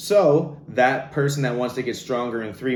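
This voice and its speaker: A fairly slow pace with audible room echo. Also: man. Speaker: fitness coach. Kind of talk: online masterclass. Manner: animated.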